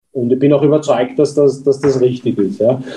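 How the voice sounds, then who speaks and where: A man with a plain, everyday voice, fairly high in pitch. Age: 50s. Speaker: company executive. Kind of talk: interview.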